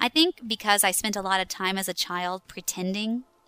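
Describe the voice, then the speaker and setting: A woman of medium pitch is heard in a dry, close sound with no echo. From Texas. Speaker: voice actor. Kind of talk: interview. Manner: laughs often, uses many fillers.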